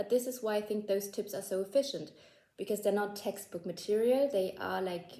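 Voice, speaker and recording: Speaking at a fairly quick pace, a woman with a German accent has a fairly high pitch. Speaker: language-learning YouTuber. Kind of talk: casual tutorial to camera. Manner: casual, filler-heavy, self-correcting.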